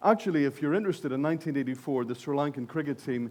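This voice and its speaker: A man speaks with a Northern Irish accent at a fairly high pitch. His pitch variation is ordinary, and the background is quiet. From Northern Ireland. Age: 60s. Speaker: conference speaker. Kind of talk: keynote speech. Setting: stage with audience.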